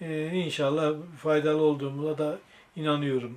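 A man talks at a moderate pace in a fairly high voice, his intonation monotone and flat. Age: 70s. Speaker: secondhand bookseller. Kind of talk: interview answer. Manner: hesitant, with filler sounds.

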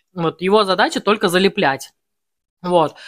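Against a quiet background, a woman speaks at a moderate pace. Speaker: home food vlogger. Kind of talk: casual vlog chat. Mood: cheerful, storytelling. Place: home room. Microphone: phone near.

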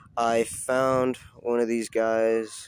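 A man's fairly low-pitched voice, the sound dry with no echo, with noticeable background noise. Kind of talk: casual vlog chat. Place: street.

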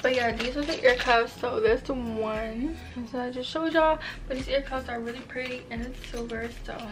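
The intonation stays fairly even. Noticeable background noise can be heard. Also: woman, high pitch for a woman. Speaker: haul vlogger. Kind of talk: casual vlog chat. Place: home room. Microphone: camera far.

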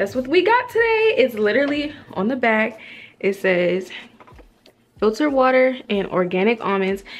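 Light background noise runs under the recording. The speaker is a woman. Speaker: vlogger. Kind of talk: casual vlog chat. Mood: upbeat, chatty. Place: home room. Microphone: phone near.

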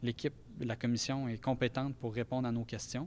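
A man talks at a moderate pace. His delivery is monotone and flat. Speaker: lawyer. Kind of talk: interview statement. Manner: hesitant. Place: hall. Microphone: handheld.

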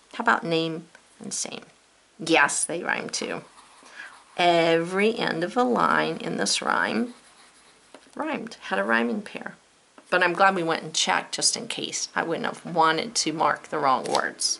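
A woman's fairly low voice with an American accent, very wide pitch swings, a fairly slow pace and long, frequent pauses, over noticeable background noise. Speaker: teacher. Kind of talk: poem reading aloud, then classroom-style lesson. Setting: video lesson to students. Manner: measured, rhythmic, sing-song cadence in the verses; warm and encouraging.

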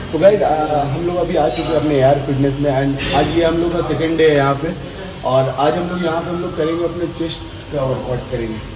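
A man's fairly even intonation and moderate pace come through noticeable background noise. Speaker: fitness vlogger. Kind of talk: casual vlog chat. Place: gym. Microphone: phone near.

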